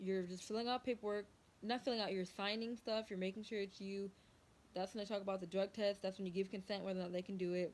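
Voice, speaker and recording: The speaker is a woman. She talks at a medium pitch. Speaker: vlogger, army enlistee. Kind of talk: casual vlog talk. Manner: fast.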